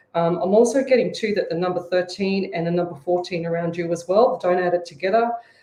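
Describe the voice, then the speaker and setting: Barely pausing, a woman speaks at a very fast pace. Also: fairly low pitch for a woman, ordinary pitch variation. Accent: Australian. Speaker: psychic medium. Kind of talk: psychic reading on radio. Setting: live radio show.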